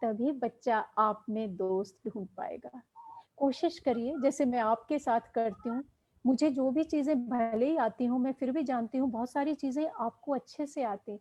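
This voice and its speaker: This woman's voice is high-pitched. The pitch moves up and down an ordinary amount. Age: 60s. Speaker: education professor. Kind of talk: lecture. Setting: online live session.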